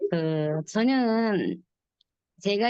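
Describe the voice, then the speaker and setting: Lively intonation runs through this woman's speech. Her voice sits at a medium pitch. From Busan. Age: 70s. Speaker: network marketing distributor. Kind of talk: testimonial talk on online meeting.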